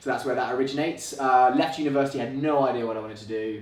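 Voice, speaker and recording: With ordinary pitch variation, a man talks amid noticeable background noise and audible room echo. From England, London. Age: 20s. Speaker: real estate agent. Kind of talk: podcast interview. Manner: casual, chatty.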